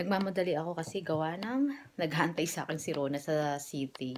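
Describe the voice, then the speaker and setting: An unremarkable speaking voice from a woman, fairly low in pitch, with lively intonation. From Philippines. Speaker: vlogger. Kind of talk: casual vlog chat. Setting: outdoors.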